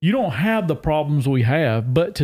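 A man with a Southern US accent speaks at a fairly high pitch. The recording is very clean, with a silent background. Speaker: agricultural extension specialist. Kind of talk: casual chat. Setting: on location at a state park.

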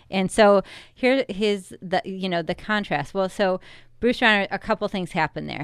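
A woman speaks with a Chicago-area accent and ordinary pitch variation. The recording is very clean, with a silent background. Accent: Chicago-area Midwestern American. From US Midwest, Chicago suburbs (Wheaton, Illinois). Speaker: political candidate. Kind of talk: radio interview.

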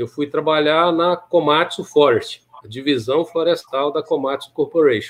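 Fairly high in pitch, a man talks fairly slowly in a normal speaking voice, with ordinary pitch variation and hardly any pauses. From Minas Gerais, Brazil. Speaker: maintenance engineering manager and professor. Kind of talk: interview.

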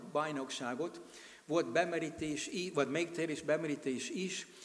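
In audible room echo, a man with an American accent speaks at a fairly high pitch. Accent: American accent in Hungarian. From USA. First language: English (speaking Hungarian). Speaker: missionary. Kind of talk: sermon. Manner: halting.

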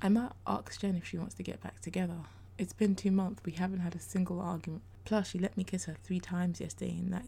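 Someone reads aloud in a natural voice, with fairly even intonation.

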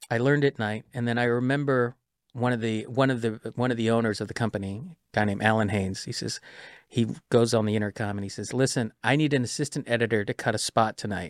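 A man talks at a very fast pace and medium pitch with fairly even intonation. The sound is dry and close, with no echo. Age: 50s. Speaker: trailer editor. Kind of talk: casual interview.

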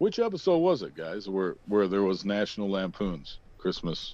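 Speaking at a moderate pace, a man has a fairly low pitch, lively intonation and an unremarkable speaking voice. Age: 30s. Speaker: podcast co-host. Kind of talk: casual chat.

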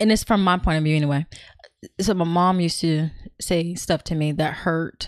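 In a very clean recording with a silent background, a plain, everyday voice with an American accent speaks at a moderate pace, with fairly even intonation and very even loudness. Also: woman, fairly low pitch for a woman. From California. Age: 40s. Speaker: podcast guest. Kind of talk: casual chat.

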